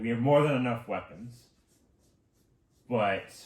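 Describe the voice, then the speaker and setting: At a moderate pace, a man does a put-on character voice at medium pitch. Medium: actual play. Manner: blunt, reporting.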